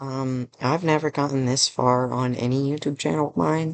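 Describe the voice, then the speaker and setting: A soft-spoken man talks at a fairly slow pace with fairly even intonation, in a dry, close sound with no echo. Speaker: gaming YouTuber and streamer. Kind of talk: casual Q&A vlog. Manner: quiet, soft-spoken.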